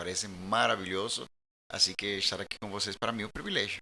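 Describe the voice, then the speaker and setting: This is a very clean recording with a silent background. A man speaks at a fairly low pitch with a bright, sharp tone. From Colombia. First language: Spanish (speaking Portuguese). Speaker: pastor. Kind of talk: casual chat.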